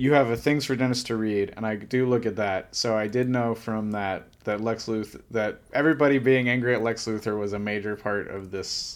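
A man with an American accent and a plain, everyday voice speaks at a fairly quick pace and medium pitch with fairly even intonation and hardly any pauses, on a very clean recording with a silent background. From New Orleans then Ohio. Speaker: co-host friend, comics novice. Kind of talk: casual chat.

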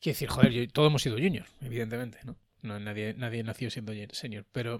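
On a very clean recording with a silent background, a man speaks very fast at medium pitch with fairly even intonation. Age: 40s. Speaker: podcast host, software developer. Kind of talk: casual chat.

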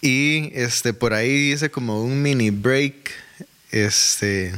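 The man's pitch is medium and varies in an ordinary way. Noticeable background noise can be heard. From Costa Rica, Desamparados. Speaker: church administrator and music minister. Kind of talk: casual interview.

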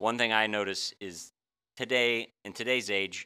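A man's voice carries a bright, sharp tone with ordinary pitch variation. It comes through on a very clean recording with a silent background. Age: 50s. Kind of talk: Bible teaching in casual chat. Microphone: audio glitches from new setup.

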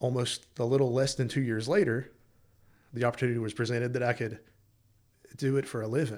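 Speaking very fast yet with long, frequent pauses, a man with an American accent keeps a medium pitch and fairly even intonation on a very clean recording with a silent background. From East Tennessee. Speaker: associate pastor. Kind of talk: casual interview.

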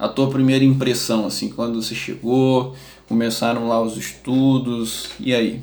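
Room echo can be heard as a man speaks in a medium-pitched voice with monotone, flat intonation at a fairly slow pace. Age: 30s. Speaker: neuropsychologist and podcast host. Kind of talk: casual interview and educational talk.

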